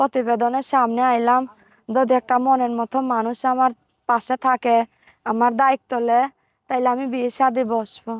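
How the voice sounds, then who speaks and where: A woman speaks high and monotone, with flat intonation, in a dry, close sound with no echo and a quiet background. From Bangladesh, Barisal. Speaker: seamstress. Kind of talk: interview.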